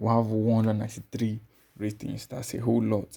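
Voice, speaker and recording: Somewhat breathy, a man speaks in a fairly low pitch with a dark, mellow tone. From Nigeria. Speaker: YouTuber reviewing coding courses. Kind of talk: screen-share course review. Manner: casual, with filler words.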